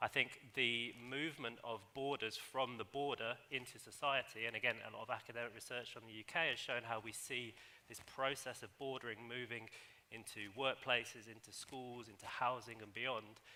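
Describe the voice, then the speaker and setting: Bright and sharp in tone, a man speaks with a British accent at a medium pitch and a moderate pace. His intonation is flat and monotone while his loudness swings widely. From UK. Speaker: academic panelist. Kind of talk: panel discussion.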